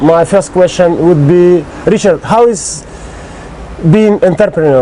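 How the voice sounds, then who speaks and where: Through noticeable background noise, a man with a Russian accent speaks at a high pitch with lively intonation. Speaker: interviewer. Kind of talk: interview. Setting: on location on an island.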